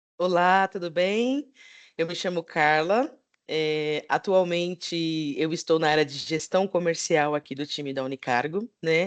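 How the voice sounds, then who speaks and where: Speaking at a fairly slow pace with a fairly low pitch, a woman has an ordinary speaking voice with ordinary pitch variation, recorded dry and close with no echo against a quiet background. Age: 30s. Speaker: sales manager. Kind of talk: panel discussion.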